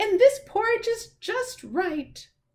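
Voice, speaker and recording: This is a put-on character voice at an extremely high pitch. It is loud and squeaky. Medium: read story. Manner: loud and clear.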